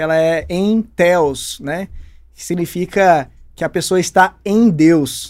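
Recorded very cleanly against a silent background, a man speaks at a high pitch with ordinary pitch variation. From Brazil, Campinas (São Paulo state). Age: 30s. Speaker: entrepreneur. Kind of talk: interview. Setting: studio.

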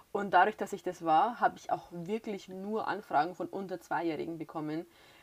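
Medium pitch from a woman, ordinary pitch variation and a moderate pace, all on a very clean recording with a silent background. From Bavaria. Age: 20s. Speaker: former au pair, student teacher. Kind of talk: casual interview.

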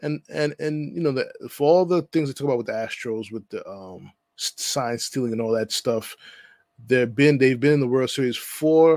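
A man's normal speaking voice with an American accent, medium in pitch with ordinary pitch variation, at a moderate pace in a very clean recording with a silent background. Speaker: podcast host. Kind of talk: sports podcast monologue, casual chat. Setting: podcast recording.

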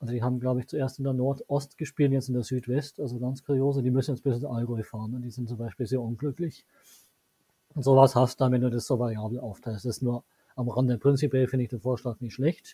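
A man with a medium-pitched, dark and mellow voice talks very fast in a flat monotone, slightly breathy, with a dry, close sound and no echo. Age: 30s. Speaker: local newspaper journalist. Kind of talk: interview.

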